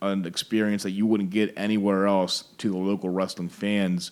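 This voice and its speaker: Fairly low male voice, very clean recording, silent background. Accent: American. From Baltimore, Maryland, US. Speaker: restaurant owner and former pro wrestler. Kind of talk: casual interview chat. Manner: energetic.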